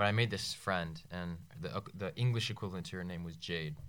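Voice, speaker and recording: A man with an American accent, a very deep, low pitch and a moderate pace. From Northern Virginia. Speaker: podcast co-host. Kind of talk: casual chat. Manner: halting.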